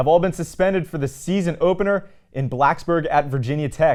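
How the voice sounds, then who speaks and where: With an American accent and a normal speaking voice, a man talks at a moderate pace, his fairly high pitch showing ordinary variation. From Pennsylvania. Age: 20s. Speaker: sports anchor/reporter. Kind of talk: sports news read.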